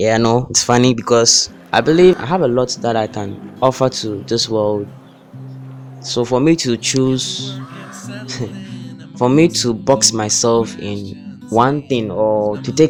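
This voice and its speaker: Music plays in the background as a man speaks at a very slow pace with long, frequent pauses. His pitch is medium, with ordinary variation. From Ghana. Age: 20s. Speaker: software engineering student. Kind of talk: casual talk to camera.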